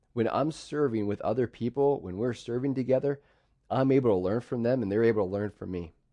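This man has an unremarkable speaking voice at a medium pitch. He talks at a fairly quick pace with ordinary pitch variation. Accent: American. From central Pennsylvania, US. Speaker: pastor. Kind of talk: sermon.

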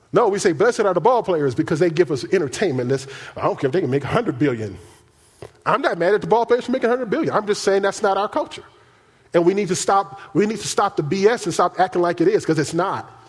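Over noticeable background noise, a man with a high pitch speaks at a very fast pace in an animated tone with lively intonation. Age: 50s. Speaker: pastor. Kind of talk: sermon. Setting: church.

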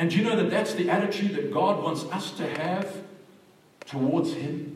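Over noticeable background noise, a man talks in a high pitch with ordinary pitch variation. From Zimbabwe. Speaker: evangelist preacher. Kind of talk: sermon. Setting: church with congregation, microphone.

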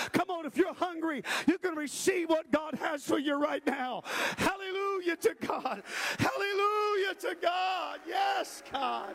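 Someone shouts in an intense, animated tone over noticeable background noise. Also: man, extremely high pitch for a man, fairly slow pace. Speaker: preacher. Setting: church; livestreamed to online viewers as well as a live congregation.

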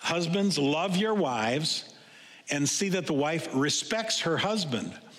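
Through noticeable background noise, a man speaks with lively intonation. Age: 60s. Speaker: pastor. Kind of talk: sermon. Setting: church. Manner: halting.

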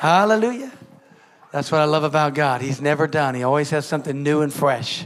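At a moderate pace, a man's voice ranges through very wide pitch swings over noticeable background noise. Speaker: pastor. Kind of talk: warm church announcements and offering appeal. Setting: church.

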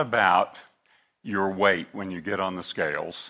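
A man with a US Midwestern accent speaks in a bright, sharp tone. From US Midwest, northeastern Kansas. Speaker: guest preacher, missionary agency director. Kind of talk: sermon. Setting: church.

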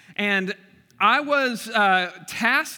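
A man speaks in a raised, projected voice that is high-pitched, with a bright, sharp tone. His intonation is lively, and the recording is very clean with a silent background. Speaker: pastor. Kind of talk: sermon. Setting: church. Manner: loud.

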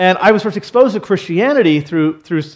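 A man talks at a fairly quick pace with lively intonation, in a normal speaking voice. The background is quiet. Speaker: pastor. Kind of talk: sermon. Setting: church.

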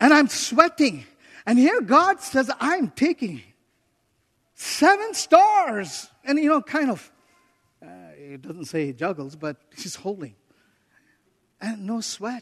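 The pace is very slow. Long, frequent pauses break up the speech. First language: not English. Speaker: visiting preacher, missionary leader. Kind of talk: sermon. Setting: church pulpit with congregation, also streamed online. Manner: animated.

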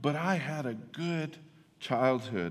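In a room with audible echo, a man talks with lively intonation. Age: 50s. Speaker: pastor. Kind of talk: sermon. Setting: church.

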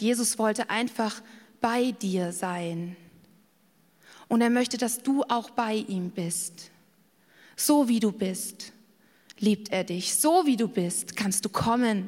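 Speaking very slowly with long, frequent pauses, a woman has a fairly high, somewhat breathy voice with ordinary pitch variation. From Bavaria, Garmisch-Partenkirchen. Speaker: preacher. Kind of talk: sermon.

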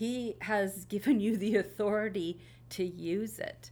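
Here a woman speaks at a medium pitch with vocal fry. Her pitch variation is ordinary. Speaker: associate pastor. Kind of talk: panel discussion about church history and scripture.

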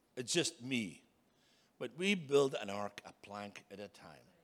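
A man speaks with a Scottish accent at a medium pitch. His pitch swings very widely. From Scotland. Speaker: preacher. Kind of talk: sermon.

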